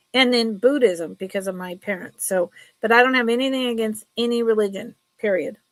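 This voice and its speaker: A woman with a normal speaking voice talks at a fairly quick pace, her fairly high pitch showing ordinary pitch variation. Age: 60s. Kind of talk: live sale stream. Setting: live stream. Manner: casual, chatty.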